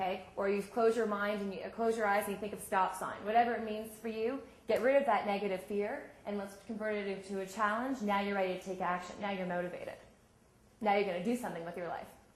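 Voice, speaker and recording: Over noticeable background noise and audible room echo, a woman talks very fast with fairly even intonation. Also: medium pitch for a woman. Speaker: sports psychology coach. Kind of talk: workshop talk.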